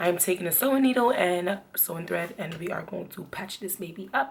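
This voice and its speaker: The speech moves at a fairly quick pace with ordinary pitch variation. There is noticeable background noise. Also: woman. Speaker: beauty vlogger. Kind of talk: tutorial. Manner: casual.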